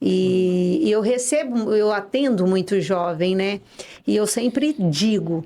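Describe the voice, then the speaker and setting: A woman at medium pitch with a dark, mellow tone, lively intonation, very even loudness, and a very slow pace. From Brazil, interior of São Paulo state (São José do Rio Preto). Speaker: dentist. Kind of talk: interview podcast.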